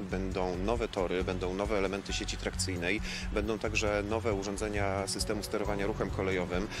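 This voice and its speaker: A man talks at a fairly quick pace over noticeable background noise, the sound dry with no echo. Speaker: railway company spokesperson. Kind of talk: interview answer. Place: garden.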